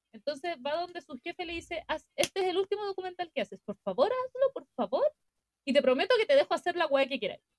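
At a very fast pace, a woman with an extremely high pitch and a Chilean accent speaks with very wide pitch swings in a dry, close sound with no echo. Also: big swings in loudness. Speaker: podcast co-host. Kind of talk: casual chat. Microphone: recorded quieter than co-host.

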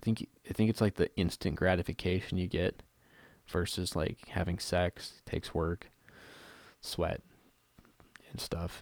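A man whispering with long, frequent pauses, in a dry, close sound with no echo. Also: fairly slow pace, very clean recording, silent background. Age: 30s. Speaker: podcast co-host, cancer survivor. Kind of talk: casual solo talk.

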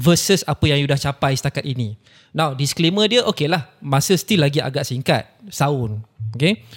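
A man with a fairly high pitch sounds somewhat breathy, with lively intonation. He keeps a moderate pace, in a dry, close sound with no echo. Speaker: podcast host. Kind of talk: casual chat.

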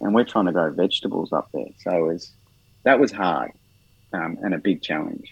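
A man's voice sits very deep and low in pitch. His intonation is lively, and his pace is moderate. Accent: Australian. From Australia, Melbourne eastern suburbs. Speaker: garden consultant and author. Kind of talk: interview. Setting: podcast recording.

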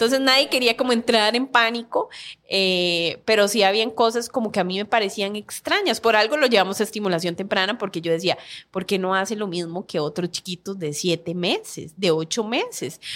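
Very clean and recorded against a silent background, a woman at medium pitch talks at a moderate pace in an unremarkable speaking voice with ordinary pitch variation. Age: 30s. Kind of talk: interview.

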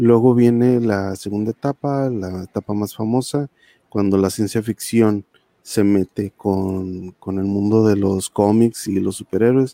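Dry and close with no echo, a man's fairly low voice moves at a fairly slow pace in a dark, mellow tone with fairly even intonation. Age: 40s. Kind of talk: casual chat. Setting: live video call.

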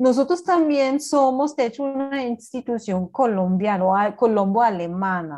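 Against a quiet background, a woman with a German accent speaks at a fairly slow pace with hardly any pauses, her fairly high voice dark and mellow in tone and swinging very widely in pitch. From Germany, Berlin. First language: German (speaking Spanish). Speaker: cultural coordinator at a language institute. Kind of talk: interview.

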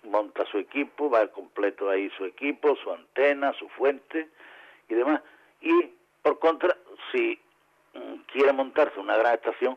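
A man's voice at a moderate pace. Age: 50s. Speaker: radio amateur association president. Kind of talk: interview. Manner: halting.

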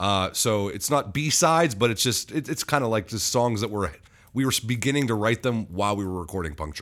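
A man uses a normal speaking voice at a medium pitch, moving at a fairly quick pace. His intonation is lively, and the recording is very clean with a silent background. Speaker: band singer and musician. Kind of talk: casual interview chat. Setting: studio, in person. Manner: joking, self-deprecating.

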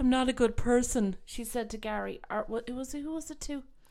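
With an Irish accent, a woman speaks fairly quickly in a high voice with lively intonation. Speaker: podcast host. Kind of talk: casual chat.

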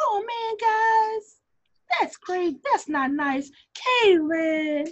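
A woman puts on a character voice at an extremely high pitch with very wide pitch swings. She speaks at a very slow pace. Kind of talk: casual. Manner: soft, gentle.

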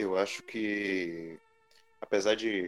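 A man speaks at a fairly low pitch with fairly even intonation. His is an unremarkable speaking voice. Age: 20s. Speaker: podcast panelist. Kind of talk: casual chat.

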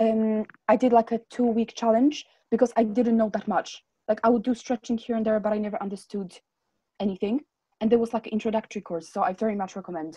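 Talking at a very fast pace, a woman sounds somewhat breathy, with a dark, mellow tone, a fairly high pitch with ordinary variation, and a dry, close sound with no echo. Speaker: podcast co-host. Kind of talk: casual chat.

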